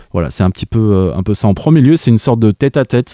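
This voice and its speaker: Fairly quick talk in a dark, mellow tone with ordinary pitch variation, dry and close with no echo. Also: man. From France, Saint-Étienne. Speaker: music venue artist development manager. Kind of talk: radio interview. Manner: halting.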